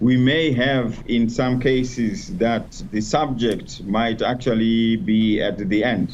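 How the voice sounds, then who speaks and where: At a very slow pace with hardly any pauses, a man speaks at a medium pitch with ordinary pitch variation and very even loudness, in audible room echo. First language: not English (English is fourth language). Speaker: education specialist. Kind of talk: panel discussion.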